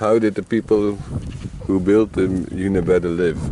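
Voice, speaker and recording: There is noticeable background noise behind this man's very deep, low-pitched voice. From Netherlands, other Dutch region. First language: Dutch. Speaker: vlogger and museum volunteer musician. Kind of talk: casual vlog, reading signs aloud.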